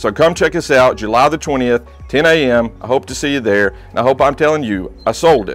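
A man talks while music plays faintly behind him. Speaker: auctioneer. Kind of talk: auction promo talk to camera, real estate listing pitch. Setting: outdoors at property. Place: garden.

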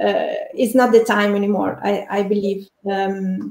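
A woman with an Italian accent speaks at medium pitch with fairly even intonation. The background is quiet, with audible room echo. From Italy. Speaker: architect and online community builder; interview guest. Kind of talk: casual interview. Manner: halting, with many fillers and repetitions. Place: home room. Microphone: video call.

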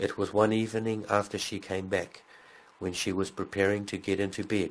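His voice is very deep and low. The man speaks in a flat monotone. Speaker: audiobook narrator. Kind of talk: ghost story reading aloud, building suspense toward a grisly apparition. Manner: measured, deliberate pacing that lingers on eerie details.

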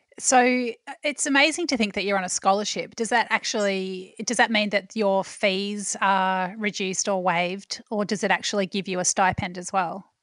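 A woman speaks in an Australian accent at a moderate pace, her medium pitch moving with ordinary variation and hardly any pauses. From Australia, Melbourne. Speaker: podcast host and food journalist. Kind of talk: interview.

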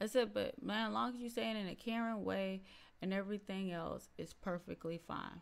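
The tone is animated, with ordinary pitch variation. The pace is moderate. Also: woman. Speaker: YouTube reaction creator; reaction streamer. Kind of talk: reaction video commentary. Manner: animated, laughing often. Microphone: studio mic.

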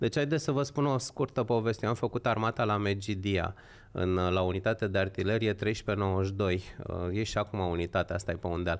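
A man's ordinary speaking voice, fairly low in pitch, at a moderate pace with ordinary pitch variation and very even loudness. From Romania, Horezu (Vâlcea); Romania. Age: 50s. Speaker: political commentator. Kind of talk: casual chat. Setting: livestream. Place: studio. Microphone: studio mic.

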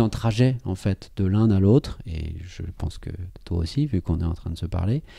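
A man speaks with a somewhat breathy voice. His tone is dark and mellow. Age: 30s. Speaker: pianist and composer. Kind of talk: casual chat. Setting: at his home next to his piano.

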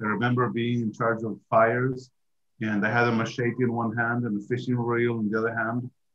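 A man speaks at medium pitch and a moderate pace, with little pitch movement.

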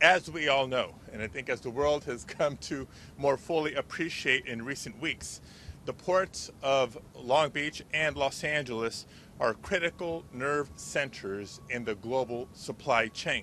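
Over light background noise, a man speaks at a fairly slow pace. His tone is bright and sharp, and the sound is dry with no echo. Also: ordinary pitch variation. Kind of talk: press conference speech. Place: waterside. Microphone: podium.

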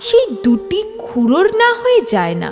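A woman's voice over clear music in the background. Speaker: audiobook narrator. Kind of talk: storytelling narration.

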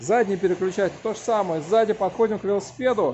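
A man with a high voice speaks at a fairly quick pace, his pitch varying in an ordinary way, over light background noise. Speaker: bicycle mechanic. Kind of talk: tutorial. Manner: loud. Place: workshop. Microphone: phone near.

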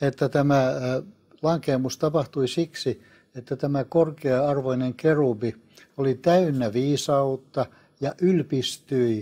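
A man's dark, mellow voice moves at a very slow pace with fairly even intonation. Behind him, the background is quiet. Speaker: guest. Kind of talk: interview answer, biblical teaching. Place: studio. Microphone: lapel.

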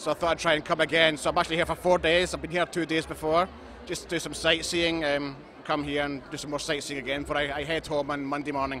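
Over light background noise, a man with a Glaswegian accent talks at a very fast pace in a fairly high, monotone, flat voice, the sound dry with no echo. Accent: Glaswegian Scottish. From Scotland. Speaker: chess fan, event visitor. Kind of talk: interview. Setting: at a chess festival event. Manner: halting, many fillers. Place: hall. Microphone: handheld.

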